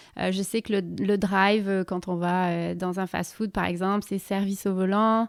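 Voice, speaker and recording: A woman speaks at a medium pitch and moderate pace, in a flat, monotone way. The recording is very clean, with a silent background. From southern France. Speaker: expatriate sharing her experience. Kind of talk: casual interview chat. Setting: podcast recording. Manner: hesitant, many fillers.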